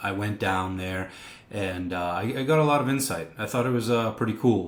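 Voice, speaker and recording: At a fairly quick pace, a man with an American accent and an unremarkable speaking voice talks at a fairly low pitch with ordinary pitch variation. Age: 30s. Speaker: pizzeria owner. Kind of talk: casual interview.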